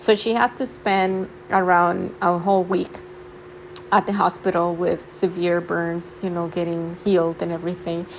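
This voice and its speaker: A woman with a non-native accent and fairly low pitch, moderate pace and fairly even intonation, over noticeable background noise. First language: not English. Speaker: spirituality vlogger. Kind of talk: casual talk to camera. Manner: halting, many fillers.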